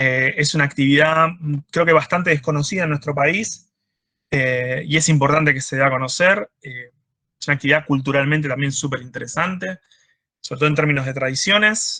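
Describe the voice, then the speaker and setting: A man speaks at a fairly quick pace with a fairly high pitch and ordinary pitch variation. His tone is bright and sharp. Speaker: marine biologist. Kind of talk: lecture. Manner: fast; hesitant with fillers.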